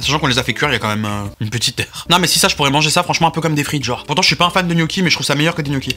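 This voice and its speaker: Noticeable background noise fills the recording. Over it, a man talks at a very fast pace with ordinary pitch variation. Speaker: YouTuber food tester. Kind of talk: casual food review vlog. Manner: animated.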